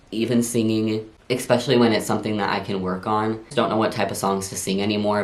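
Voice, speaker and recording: Fairly low pitch from a man, with noticeable noise behind him and an audible echo of the room. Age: 20s. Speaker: vlogger. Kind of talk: casual Q&A vlog. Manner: casual, animated.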